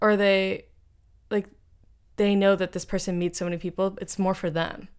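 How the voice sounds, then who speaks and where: In a very clean recording with a silent background, a woman of medium pitch talks at a moderate pace in an ordinary speaking voice. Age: 20s. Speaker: podcast co-host. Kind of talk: casual chat.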